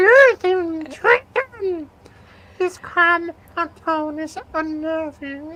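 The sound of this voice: Slowly delivered, the put-on character voice sounds bright and sharp, with ordinary pitch variation. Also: man, extremely high pitch for a man.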